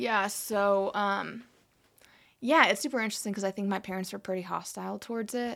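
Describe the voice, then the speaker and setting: A woman with a plain, everyday voice speaks at a fairly quick pace with fairly even intonation in a very clean recording with a silent background. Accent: American. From US Midwest, South Dakota. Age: 20s. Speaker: church intern. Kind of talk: casual interview. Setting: studio.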